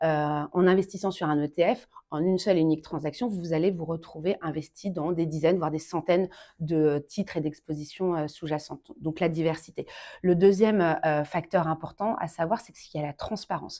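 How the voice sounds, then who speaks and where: Speaking at a fairly quick pace, a woman uses a fairly low pitch, a dark, mellow tone and fairly even intonation. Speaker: asset management executive. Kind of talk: podcast interview. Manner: frequent hesitations (euh).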